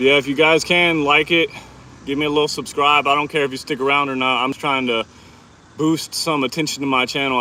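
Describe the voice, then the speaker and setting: With a Texan accent, a man speaks. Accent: sounds Texan. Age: 20s. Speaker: fitness livestreamer. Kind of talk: casual live stream chat during workout. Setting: outdoors in hot sun.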